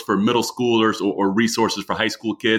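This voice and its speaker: A fairly quick, medium-pitched male voice with a bright, sharp tone and ordinary pitch variation, on a very clean recording with a silent background. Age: 40s. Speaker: children's book author. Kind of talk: casual interview chat.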